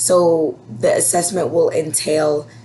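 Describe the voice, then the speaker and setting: A woman's fairly low voice comes through with noticeable noise in the background. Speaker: elementary school teacher. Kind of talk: class update video for parents. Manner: casual, filler words.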